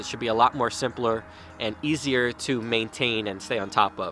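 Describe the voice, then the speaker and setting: A man talks at a moderate pace, his pitch varying in an ordinary way, with a dry sound with no echo and light background noise. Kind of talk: casual vlog chat. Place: garden. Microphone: phone near.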